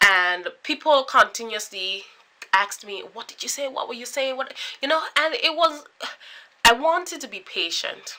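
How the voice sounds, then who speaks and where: Raised and projected, an animated woman's high voice swings very widely in pitch and varies greatly in loudness. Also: moderate pace. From British Virgin Islands. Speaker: YouTuber, former university student. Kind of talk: vlog monologue.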